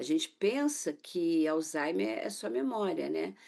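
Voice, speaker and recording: A woman talks at a fairly slow pace, with only a quiet background behind her. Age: 60s. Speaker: author and caregiver of mother with Alzheimer's. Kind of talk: TV interview testimony. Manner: halting, with frequent fillers.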